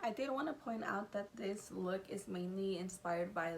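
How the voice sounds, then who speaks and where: A quiet voice at a moderate pace with ordinary pitch variation, over noticeable background noise. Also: woman. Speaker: makeup artist vlogger. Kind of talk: makeup tutorial voiceover. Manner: quiet, low volume.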